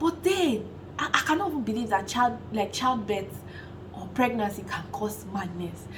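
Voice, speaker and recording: In a Nigerian accent, a woman speaks in an animated tone with lively intonation and fairly high pitch, over noticeable background noise and audible room echo. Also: moderate pace. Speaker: vlogger. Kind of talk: casual vlog talk.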